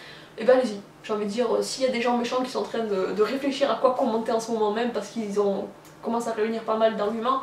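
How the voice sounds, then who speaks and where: At a very fast pace, a woman with a fairly high pitch speaks in fairly even intonation, with audible room echo and noticeable background noise. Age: 20s. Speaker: YouTuber. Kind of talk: personal vlog confession. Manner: halting, many hesitations.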